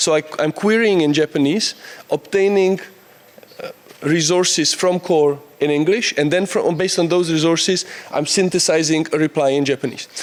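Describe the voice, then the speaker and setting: This man talks with a Czech accent at a high pitch, his intonation fairly even and his loudness very even. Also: moderate pace. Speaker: conference speaker. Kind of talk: conference talk. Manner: halting.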